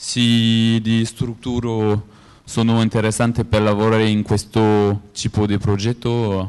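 With a French accent, a man talks at a fairly low pitch in a monotone, flat intonation. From France. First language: French (speaking Italian). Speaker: conference speaker, geographic information coordinator; conference speaker. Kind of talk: conference presentation. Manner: halting, many hesitations. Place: hall.

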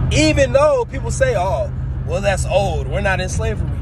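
Loud background noise fills a recording whose sound is dry, with no echo. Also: man. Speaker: vlogger. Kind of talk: casual vlog chat, social commentary. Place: car. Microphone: phone near.

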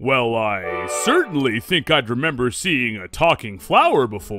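Faint music plays behind a man doing a put-on character voice at medium pitch, bright and sharp in tone, swinging very widely in pitch at a fairly slow pace.

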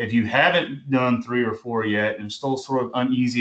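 A man at a moderate pace, with fairly even intonation. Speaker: college English instructor. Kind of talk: lecture. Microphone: video call.

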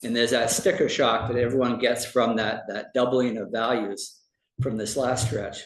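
A man talks at a medium pitch while audible room echo fills the space. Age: 70s. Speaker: property assessor. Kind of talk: public presentation at town meeting. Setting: town board meeting. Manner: halting, many fillers.

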